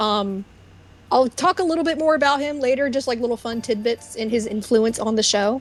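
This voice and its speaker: Over noticeable background noise, a woman speaks at a high pitch and a fairly quick pace with ordinary pitch variation. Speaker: guest presenter on a livestream. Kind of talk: slideshow presentation on a livestream. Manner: fast; casual, halting with fillers.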